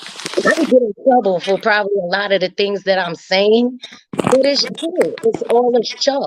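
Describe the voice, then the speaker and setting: With a New York accent, a woman talks in a fairly high pitch and lively intonation, the sound dry and close with no echo. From New York, Bed-Stuy. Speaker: teacher. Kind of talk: casual chat.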